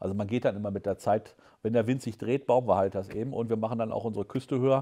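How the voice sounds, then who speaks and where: A man speaks very fast in a fairly low voice with a dark, mellow tone. His pitch varies in an ordinary way, and the background is quiet. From southern Lower Saxony, Germany. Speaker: state environment minister. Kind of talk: interview. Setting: newsroom studio. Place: studio.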